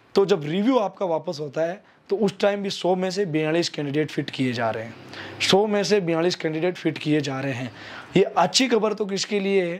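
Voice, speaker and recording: Lively in intonation, a man speaks at a moderate pace in a high pitch. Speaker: YouTube army recruitment news presenter. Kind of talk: informational news commentary. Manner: hesitant fillers, repeats himself.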